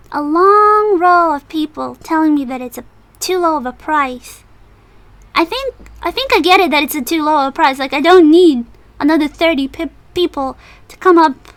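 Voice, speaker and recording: Mumbling in an extremely high voice, a woman uses lively intonation, big swings in loudness, and long, frequent pauses. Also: moderate pace. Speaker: cosplayer. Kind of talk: casual story time talk. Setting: noisy home recording. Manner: mumbly.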